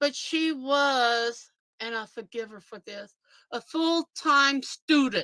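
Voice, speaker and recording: A woman projects a raised, high-pitched voice in a bright, sharp tone at a very slow pace, with ordinary pitch variation. The very clean recording has a silent background and a dry, close sound with no echo. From Louisiana. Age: old. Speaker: livestream host. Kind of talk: casual chat. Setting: live stream.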